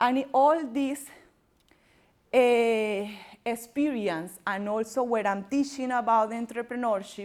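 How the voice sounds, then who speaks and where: With a strong Colombian accent, a woman speaks very slowly at a fairly high pitch, with ordinary pitch variation and long, frequent pauses. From Colombia, Barranquilla (Caribbean coast). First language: Spanish. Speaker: entrepreneur and workshop presenter. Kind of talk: workshop presentation. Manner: loud; halting, non-native phrasing.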